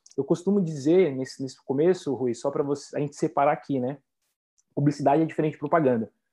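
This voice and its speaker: A man with a Brazilian accent speaks at a very fast pace. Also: fairly high pitch for a man, ordinary pitch variation. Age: 20s. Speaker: marketing entrepreneur. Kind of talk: interview.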